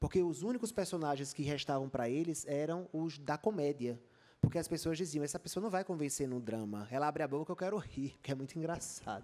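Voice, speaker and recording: Speaking at a fairly quick pace, a man with a fairly high pitch uses lively intonation. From Brazil, Rio Grande do Norte (Natal). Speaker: journalist and author. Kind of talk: panel talk at a book festival.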